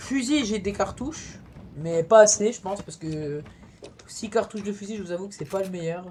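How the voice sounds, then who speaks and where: Amid noticeable background noise, a woman of medium pitch speaks in an animated tone with lively intonation and big swings in loudness. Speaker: gaming youtuber. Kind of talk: let's play commentary. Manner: fast.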